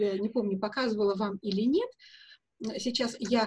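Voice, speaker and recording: At a moderate pace, a woman speaks in a somewhat breathy voice with a fairly high pitch and ordinary pitch variation. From Russia (Soviet Union). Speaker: perfumer and perfume historian; guest. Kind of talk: interview. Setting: video call from home. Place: home room. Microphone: video call.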